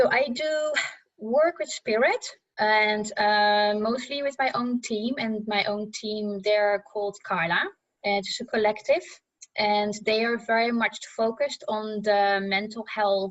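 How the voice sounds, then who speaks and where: A woman talks in a plain, everyday voice at a fairly slow pace with ordinary pitch variation. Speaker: psychic medium and counselor. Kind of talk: casual chat.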